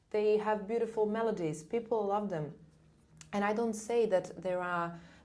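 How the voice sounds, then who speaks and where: A woman with a non-native accent talks at a moderate pace, her fairly high pitch held in fairly even intonation, with audible room echo. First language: not English. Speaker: soprano singer. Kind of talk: casual interview chat.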